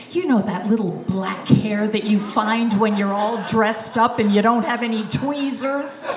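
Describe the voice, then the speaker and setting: Over music in the background, a woman with a fairly high pitch speaks at a fairly slow pace with hardly any pauses and ordinary pitch variation. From Germany, raised in US from age five. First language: German. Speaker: comedian. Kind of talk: stand-up.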